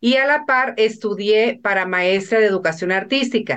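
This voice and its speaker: A woman uses a plain, everyday voice with a fairly high pitch. She speaks at a moderate pace with ordinary pitch variation. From Mexico, northern Sinaloa. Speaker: businesswoman. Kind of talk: interview.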